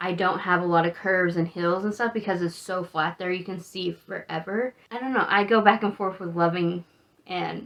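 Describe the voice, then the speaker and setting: Speaking at a moderate pace with an American accent, a woman has an ordinary speaking voice, medium in pitch for a woman, with fairly even intonation. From Texas, Amarillo (Panhandle). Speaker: travel vlogger. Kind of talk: casual monologue.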